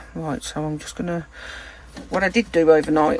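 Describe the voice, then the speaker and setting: Soft-spoken and with a British accent, a woman talks at a moderate pace with a fairly low pitch and ordinary pitch variation over noticeable background noise. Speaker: resin crafter, channel host. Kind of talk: tutorial. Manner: soft-spoken, quiet. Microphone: no external mic, too quiet.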